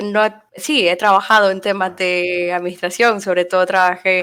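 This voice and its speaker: Fairly slow and fairly even in intonation, a woman speaks. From Nicaragua. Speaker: frontend developer. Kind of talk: interview. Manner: hesitant, many fillers.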